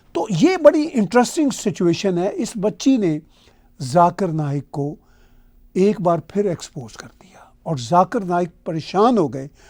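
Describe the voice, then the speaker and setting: A man with a Punjabi accent speaks at a high pitch, his voice swinging very widely in pitch. His loudness rises and falls sharply. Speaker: political commentator. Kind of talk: video commentary monologue.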